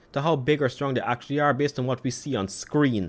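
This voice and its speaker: Words come very fast from a man. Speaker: YouTuber, dinosaur content creator. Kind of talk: reaction commentary rebuttal. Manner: soothing.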